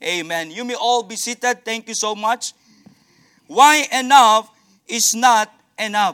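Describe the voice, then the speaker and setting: A man with an extremely high pitch and a bright, sharp tone uses a raised, projected voice, with ordinary pitch variation and big swings in loudness. He speaks at a fairly slow pace with long, frequent pauses, in a dry, close sound with no echo. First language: not English. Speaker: visiting missionary preacher. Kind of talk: sermon. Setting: church. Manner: halting.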